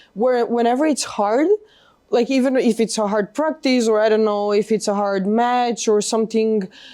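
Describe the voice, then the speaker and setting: A woman with a Macedonian accent speaks at a moderate pace and fairly high pitch, her tone dark and mellow and her loudness very even. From North Macedonia. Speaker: college tennis player. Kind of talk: interview. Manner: halting.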